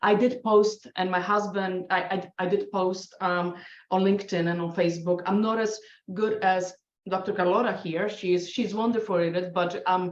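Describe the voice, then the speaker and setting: A woman with a Polish accent speaks at medium pitch and a moderate pace, her intonation monotone and flat. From Poland. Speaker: scientist and adjunct professor, award winner. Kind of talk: podcast panel interview. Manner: halting, many restarts.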